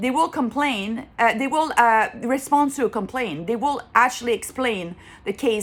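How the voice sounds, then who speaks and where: A woman speaks with a French accent at a fairly high pitch. Her intonation is lively. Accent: French accent, lasting. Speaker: consumer vlogger. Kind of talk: casual vlog monologue. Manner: halting, with repetitions and fillers.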